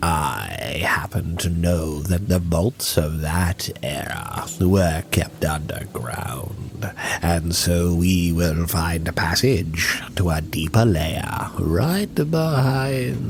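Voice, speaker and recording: In a put-on character voice, a man talks at a very slow pace with a very deep, low pitch, over clear background noise. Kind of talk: dark fantasy monologue. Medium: audio drama. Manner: measured, condescending, archaic.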